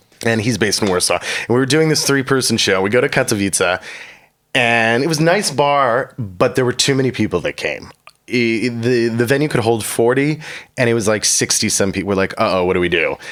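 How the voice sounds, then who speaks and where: Speaking at a fairly quick pace, a man with a Chicago accent talks at a medium pitch. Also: ordinary pitch variation. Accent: American, Chicago area. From US Midwest, Chicago suburbs. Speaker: comedian and comedy show host. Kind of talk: casual interview chat. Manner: animated.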